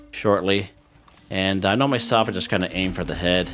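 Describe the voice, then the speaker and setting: A man speaks with music playing in the background. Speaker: gaming youtuber. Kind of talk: gameplay tutorial. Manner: casual, many fillers.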